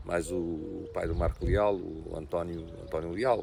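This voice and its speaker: A man speaks at a fairly slow pace with ordinary pitch variation while noticeable background noise plays behind him. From Portugal, Ribatejo (Azambuja area). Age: 60s. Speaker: local politician. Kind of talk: interview. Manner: halting, with many repetitions.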